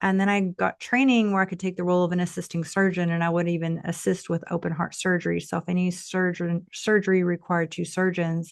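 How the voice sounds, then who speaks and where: Against a quiet background, a woman speaks very fast in a fairly low, monotone voice with flat intonation and hardly any pauses. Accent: slight Texas. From Texas. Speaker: tantra coach, former nurse. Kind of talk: podcast interview.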